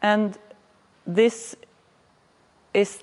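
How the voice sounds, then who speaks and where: A woman speaks with a Norwegian accent. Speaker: municipal planning manager. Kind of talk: lecture. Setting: workshop presentation. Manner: halting.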